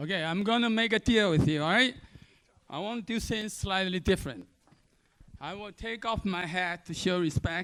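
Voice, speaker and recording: In a strong Chinese accent, a high-pitched man speaks in an animated tone with lively intonation. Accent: heavy Chinese. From mainland China. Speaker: panel moderator, biotech executive. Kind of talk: panel moderation at conference. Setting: stage with audience.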